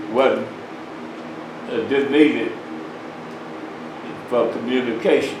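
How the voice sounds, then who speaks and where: A man with an Alabama accent at a medium pitch, ordinary pitch variation, audible room echo and noticeable background noise. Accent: Southern US (Alabama). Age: 80s+. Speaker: citizen speaking at public comment. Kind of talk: public comment at county meeting. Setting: county commission meeting room. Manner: halting.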